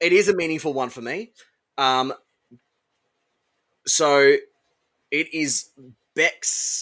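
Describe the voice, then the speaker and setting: Speaking at a very slow pace with long, frequent pauses, a man with an Australian accent has a fairly high pitch and a bright, sharp tone. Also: ordinary pitch variation. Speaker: podcast co-host. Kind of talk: casual chat.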